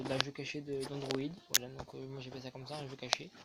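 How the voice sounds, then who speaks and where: A man speaks softly, mumbling his words. Noticeable background noise runs underneath. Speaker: gaming and fitness youtuber. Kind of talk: casual video talk to viewers. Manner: soft-spoken.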